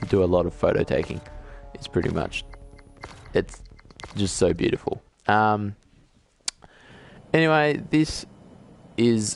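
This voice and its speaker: Over music in the background, a man speaks at a fairly slow pace, leaving long, frequent pauses. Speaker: gamer. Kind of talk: casual gameplay commentary.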